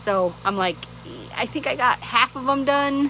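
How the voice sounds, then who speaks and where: A woman speaks over noticeable background noise. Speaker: vlogger. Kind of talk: casual chat. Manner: loud; rambling, many fillers.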